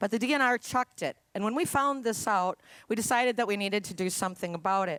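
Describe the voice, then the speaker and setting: A woman in an Upper Midwest accent with ordinary pitch variation, on a very clean recording with a silent background and a dry, close sound with no echo. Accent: Upper Midwest American. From Minnesota, Duluth. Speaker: activist. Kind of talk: rally speech.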